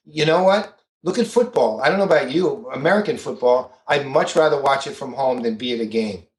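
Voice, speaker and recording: Talking at a fairly quick pace with hardly any pauses, a man with a fairly high, somewhat breathy voice makes very wide pitch swings. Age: 60s. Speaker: business author and CRM expert. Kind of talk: podcast interview. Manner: animated.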